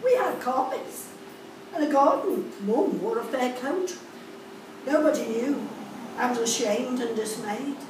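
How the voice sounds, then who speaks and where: Against noticeable background noise and audible room echo, a woman with a high pitch speaks at a fairly slow pace with lively intonation and long, frequent pauses. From Liverpool, England. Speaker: poet reading own work. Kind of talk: poetry reading, spoken word to a live audience, recalling school days. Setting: live poetry event with audience. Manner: measured, rhythmic, clipped phrasing, wistful and confessional. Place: cafe.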